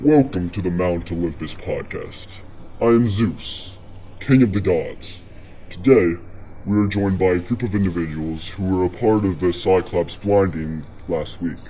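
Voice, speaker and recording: The speaker uses a put-on character voice at a moderate pace. Background noise is clear. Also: man, very deep, low pitch for a man. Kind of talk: podcast host. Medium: audio drama.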